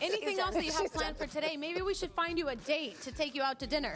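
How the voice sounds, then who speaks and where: A woman talks very fast at a high pitch with lively intonation. Noticeable background noise runs underneath. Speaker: bilingual TV news reporter. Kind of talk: upbeat local news teaser.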